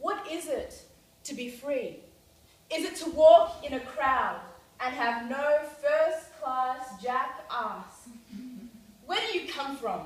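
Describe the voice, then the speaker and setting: In an audible room echo, a woman with an Australian accent speaks very slowly at a high pitch, with ordinary pitch variation and long, frequent pauses. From Australia, Frankston (Melbourne). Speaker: spoken word poet. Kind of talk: spoken word performance. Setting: stage with audience. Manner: rhythmic.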